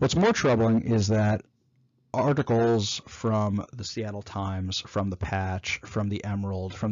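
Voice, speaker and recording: With an American accent, a man talks fairly slowly in an ordinary speaking voice pitched fairly low. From New York. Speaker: former city council candidate, business owner. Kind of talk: solo talk summarizing a presentation.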